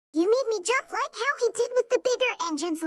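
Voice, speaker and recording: A woman in a put-on character voice speaks at a fairly quick pace, squeaky and extremely high-pitched. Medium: read story. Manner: cheerful, curious.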